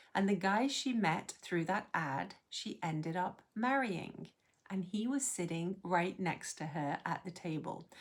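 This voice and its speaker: A woman with an American accent, medium pitch, lively intonation, and a fairly slow pace. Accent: sounds more American than English. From England. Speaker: expat life vlogger. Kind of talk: personal storytelling.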